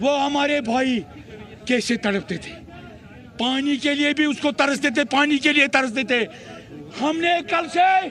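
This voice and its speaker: A man's extremely high voice shows ordinary pitch variation while noticeable background noise sounds behind him. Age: 60s. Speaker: protester. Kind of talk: street interview. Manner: impassioned.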